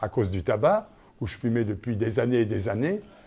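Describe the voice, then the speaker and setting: The recording is very clean, with a silent background. A man speaks at a medium pitch, somewhat breathy, with ordinary pitch variation. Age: 70s. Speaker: patient with lung disease (COPD). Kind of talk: interview testimony.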